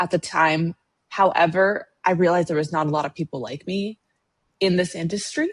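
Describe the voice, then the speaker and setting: Dry and close with no echo, a woman's unremarkable speaking voice runs at a fairly quick pace, fairly low in pitch with ordinary pitch variation. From Latin American immigrant, raised in the US. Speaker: financial planner. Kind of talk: podcast interview.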